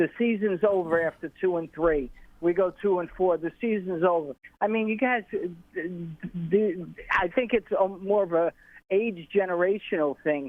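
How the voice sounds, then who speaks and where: Speaking at a moderate pace with an American accent, a man uses a high pitch with ordinary variation. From New York. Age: 60s. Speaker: caller. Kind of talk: call-in comment. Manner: halting.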